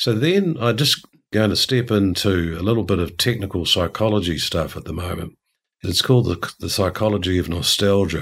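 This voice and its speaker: In a very clean recording with a silent background, a man with a New Zealand accent speaks at a moderate pace, his fairly low voice showing ordinary pitch variation. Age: 50s. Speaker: organizational culture consultant. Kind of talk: interview.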